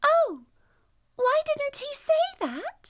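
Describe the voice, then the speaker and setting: Put on as a squeaky character voice, the speech sits at an extremely high pitch and moves in very wide pitch swings. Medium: read story.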